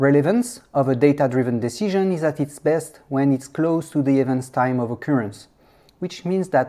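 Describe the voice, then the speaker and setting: Speaking at a moderate pace, this voice has a French accent. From France. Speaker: software engineer and conference speaker. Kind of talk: conference talk. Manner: hesitant, many fillers.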